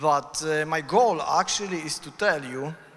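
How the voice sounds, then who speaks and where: The speaker has a Polish accent and a fairly slow pace, with ordinary pitch variation. Noticeable background noise runs underneath. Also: man. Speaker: conference speaker. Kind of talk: conference talk. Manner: halting.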